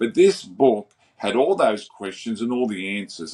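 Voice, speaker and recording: A man speaks with an Australian accent and a lively, bouncing intonation. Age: 60s. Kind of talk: interview.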